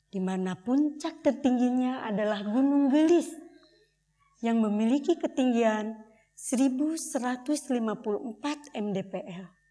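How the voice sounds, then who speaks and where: Her pitch high for a woman, she speaks at a fairly slow pace with ordinary pitch variation. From Indonesia, Bandung (West Java). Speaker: theatre performer. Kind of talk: documentary theatre performance. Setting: stage with audience.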